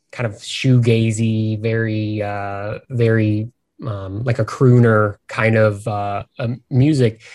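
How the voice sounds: A man talks with a fairly low pitch, little pitch movement and a slightly mellow tone.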